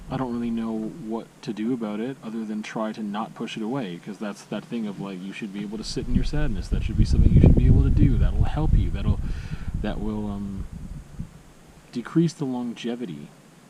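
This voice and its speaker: Over noticeable background noise, a quiet man talks at a fairly quick pace and fairly low pitch, with ordinary pitch variation and big swings in loudness. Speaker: vlogger. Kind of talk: personal vlog monologue. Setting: outdoors at a campsite. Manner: quiet, low voice; halting, hesitant.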